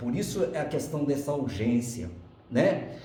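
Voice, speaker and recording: A man's animated tone comes through noticeable background noise and audible room echo. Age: 60s. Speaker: spiritist lecturer. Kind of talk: spiritist lecture. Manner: animated, conversational.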